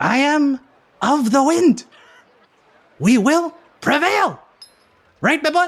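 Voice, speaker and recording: A man puts on a character voice at an extremely high pitch. He goes at a fairly slow pace with long, frequent pauses. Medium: actual play. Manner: excitable, exclamatory, repetitive.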